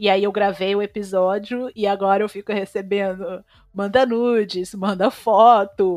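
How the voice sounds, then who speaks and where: This is a normal speaking voice at a moderate pace against a quiet background. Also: woman. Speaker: social media activist. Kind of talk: casual chat.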